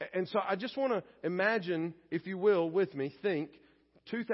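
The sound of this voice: The reading voice is unforced, and the pitch moves in an ordinary way.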